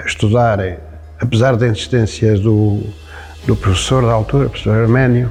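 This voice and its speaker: With a central-northern Portuguese accent, a man speaks at a medium pitch and with fairly even intonation while music plays in the background. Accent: central-northern European Portuguese (Aveiro). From Portugal, Cacia (Aveiro district). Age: 70s. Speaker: retired metalworker, local figure. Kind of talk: life-story interview. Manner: hesitant, with many fillers.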